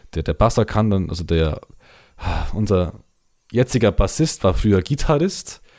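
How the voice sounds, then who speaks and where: A man's fairly low voice with a dark, mellow tone, lively intonation, a moderate pace and long, frequent pauses. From Bavaria, Allgäu. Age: 20s. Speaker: metal band singer and guitarist. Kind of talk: casual chat. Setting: remote call over the internet.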